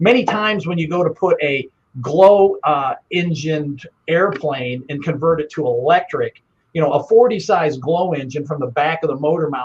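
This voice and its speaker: A man with a plain, everyday voice speaks at a fairly high pitch. His pace is moderate and his pitch variation ordinary. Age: 60s. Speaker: business owner and product designer. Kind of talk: interview. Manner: casual, frequent fillers.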